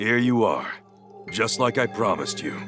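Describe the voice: A raspy, cartoonish character voice speaks at a moderate pace over clear music in the background. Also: man, medium pitch for a man.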